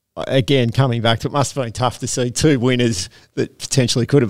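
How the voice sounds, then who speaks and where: The recording is very clean, and the background is silent. A man speaks fairly quickly. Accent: Australian. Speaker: harness racing podcast host. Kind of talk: casual chat. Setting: studio.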